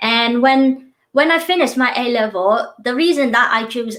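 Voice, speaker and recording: A woman with a Vietnamese accent, at a fairly slow pace. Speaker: university lecturer. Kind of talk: interview.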